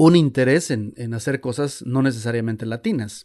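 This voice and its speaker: Against a quiet background, a man with a medium pitch speaks. His pace is moderate and his pitch variation ordinary. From Mexico, Xalapa, Veracruz. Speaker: music journalist. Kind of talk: interview. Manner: halting, many fillers and repetitions.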